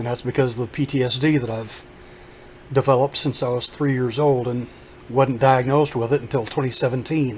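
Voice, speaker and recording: Flat and monotone, a man speaks with a medium pitch and a somewhat breathy voice. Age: 50s. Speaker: YouTuber. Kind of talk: casual vlog monologue.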